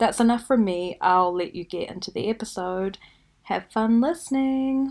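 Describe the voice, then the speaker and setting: A woman speaks with a New Zealand accent at a fairly high pitch. Her intonation is lively. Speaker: podcast host. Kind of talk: casual podcast monologue. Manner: slow.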